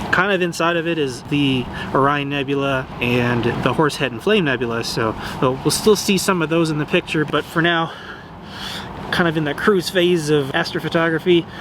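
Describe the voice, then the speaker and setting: There is noticeable background noise behind this man. His pitch is fairly high, with ordinary variation. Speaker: amateur astrophotographer. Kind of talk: casual vlog narration. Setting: outdoors at night. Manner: fast.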